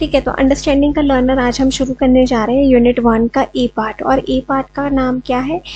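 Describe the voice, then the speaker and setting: A woman speaks at a high pitch with monotone, flat intonation. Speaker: online teacher for teacher-training exams. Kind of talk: tutorial lecture. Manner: slow; hesitant, many fillers.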